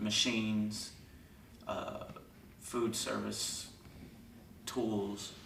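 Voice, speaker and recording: There is noticeable background noise as a man speaks at a very slow pace, with long, frequent pauses. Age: young. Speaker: juvenile prison inmate. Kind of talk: release hearing statement.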